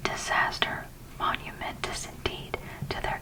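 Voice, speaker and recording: A whispering voice moves at a fairly slow pace over noticeable background noise. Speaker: ASMR content creator. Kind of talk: ASMR whispered audiobook reading. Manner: whispered, soft-spoken.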